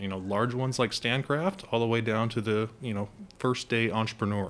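Fairly quick speech in a plain, everyday voice, its pitch varying in an ordinary way. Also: man. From North Idaho, US. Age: 30s. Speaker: college entrepreneurship program director. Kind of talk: interview.

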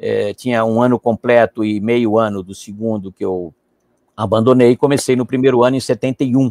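The tone is dark and mellow, and the intonation is fairly even. The sound is dry and close, with no echo. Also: man, medium pitch for a man, moderate pace. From Brazil, São Paulo. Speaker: diplomat and professor. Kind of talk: interview.

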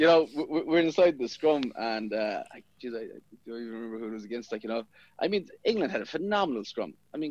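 A man with a west of Ireland accent talks at a very fast pace, his medium-pitched voice full of lively intonation. His loudness swings widely. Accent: west of Ireland Irish. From Inishmore, Aran Islands, west of Ireland. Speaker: rugby player. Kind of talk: casual interview.

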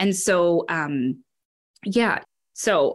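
A woman with an ordinary speaking voice, fairly low in pitch, in a very clean recording with a silent background. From northern Wisconsin, US. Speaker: education program director. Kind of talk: interview.

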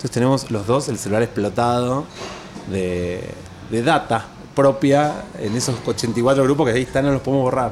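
A man at medium pitch, moderate pace and ordinary pitch variation, with noticeable background noise. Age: 40s. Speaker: architect. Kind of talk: casual interview chat. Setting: café patio.

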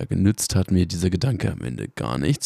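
A man's very deep, low voice carries vocal fry. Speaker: podcast host. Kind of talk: voice memo announcement. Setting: in bed at home. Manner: halting.

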